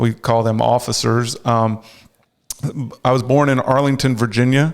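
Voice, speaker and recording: A man with a slight North Carolina accent speaks at a medium pitch and a moderate pace. His intonation is monotone and flat, and his loudness stays very even. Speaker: clergy charity officer. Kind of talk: interview.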